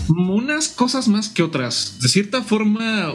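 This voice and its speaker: A man at a fairly slow pace, lively intonation, noticeable background noise behind him. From Mexico, Morelia, Michoacán. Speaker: guitarist and music teacher. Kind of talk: interview.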